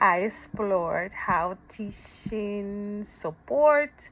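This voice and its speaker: Speaking with a non-native accent, a woman uses a medium pitch. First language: not English. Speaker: ESL teacher and graduate student. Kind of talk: recorded course presentation. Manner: halting, self-correcting.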